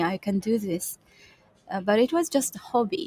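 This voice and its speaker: A woman speaks with a Kazakh accent in a dry, close sound with no echo. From Kazakhstan. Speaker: UX and UI designer, freelancer. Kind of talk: interview. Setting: co-working space, video call. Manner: halting, with fillers.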